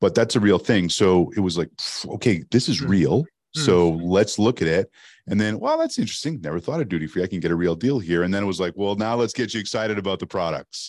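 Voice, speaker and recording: Over a quiet background, a man talks at a very fast pace with a Canadian accent. His pitch is fairly low and his intonation lively. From Canada, French-speaking part. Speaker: sales storytelling expert. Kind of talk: casual interview chat. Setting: remote call from Arizona.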